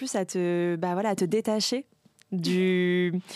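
A woman speaks at medium pitch with ordinary pitch variation, in a plain, everyday voice. The very clean recording is dry and close, with no echo and a silent background. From Paris suburbs, France. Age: 30s. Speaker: social media content creator. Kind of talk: casual chat.

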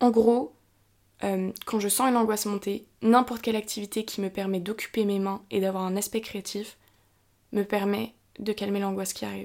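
Over a very clean recording with a silent background, a woman speaks in a monotone, flat intonation. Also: medium pitch for a woman, moderate pace. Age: 20s. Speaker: podcast host sharing mental health experience. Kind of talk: personal testimony and explanation. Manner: casual with frequent hesitations.

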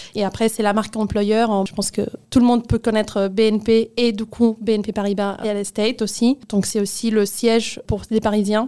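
A woman speaks at a fairly high pitch in a dark, mellow tone. Her intonation is monotone and flat, at a moderate pace. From Spain, Barcelona (Catalonia). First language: Spanish/Catalan (speaking French). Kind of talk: interview testimony.

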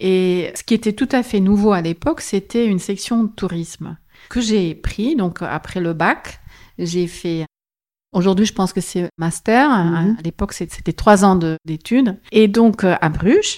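Speaking at a fairly slow pace, a woman has a medium pitch and ordinary pitch variation. She carries a slight Flemish accent, and the recording is very clean with a silent background. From Flanders, Belgium (West Flanders, schooled in Antwerp). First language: Dutch (Flemish) (speaking French). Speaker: tourism board representative. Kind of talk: interview. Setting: office.

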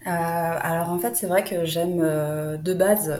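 A woman's fairly low voice at a very slow pace, with noticeable background noise. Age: 20s. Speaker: entrepreneur. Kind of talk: interview.

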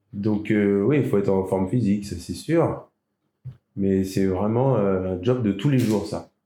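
Very slow speech from a man with a fairly low pitch and a dark, mellow tone. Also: ordinary pitch variation. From France, Île d'Oléron (Charente-Maritime). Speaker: volunteer sea rescuer and diver. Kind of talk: interview. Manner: halting.

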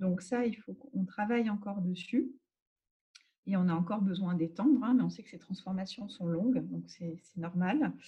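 A woman's somewhat breathy voice, dark and mellow in tone, with ordinary pitch variation at a moderate pace. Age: 40s. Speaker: agile transformation manager. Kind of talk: interview. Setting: at home.

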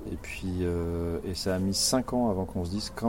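A man speaks with a very deep, low pitch and ordinary pitch variation. Noticeable noise sits in the background. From rural France. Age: 50s. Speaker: board game designer and graphic artist. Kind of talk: casual interview. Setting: outdoors in a garden.

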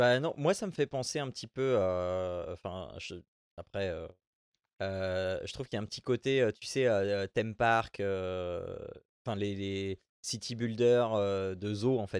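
Against a quiet background, in a dry, close sound with no echo, a man with a fairly low pitch and ordinary pitch variation speaks at a very slow pace. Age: 40s. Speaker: podcast host. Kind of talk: casual chat.

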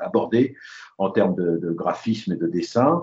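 A man speaks at a very slow pace. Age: 70s. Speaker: aviation illustrator. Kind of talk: interview. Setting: phone call. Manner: halting. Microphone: lower audio quality, phone line.

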